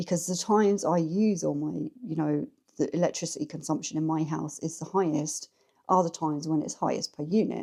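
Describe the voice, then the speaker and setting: With an English accent, a woman speaks at a fairly low pitch in a dark, mellow tone with ordinary pitch variation. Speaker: lifestyle vlogger. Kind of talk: casual chat. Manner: chatty, rambling pace.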